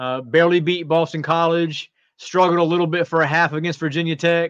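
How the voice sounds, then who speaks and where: Over a quiet background, a man with a high pitch talks at a moderate pace. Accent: American. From North Carolina. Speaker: college football writer. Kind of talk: sports talk interview.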